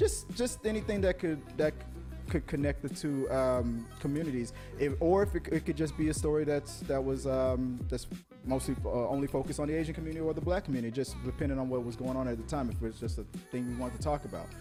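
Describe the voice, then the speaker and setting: Very fast speech over music in the background. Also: man. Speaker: podcast host. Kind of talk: casual interview conversation.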